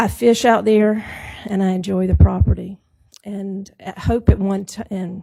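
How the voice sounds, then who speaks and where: A woman speaks at a fairly slow pace. Her voice is soft-spoken. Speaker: property owner speaking at zoning hearing. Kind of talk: public hearing testimony. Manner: soft-spoken, low.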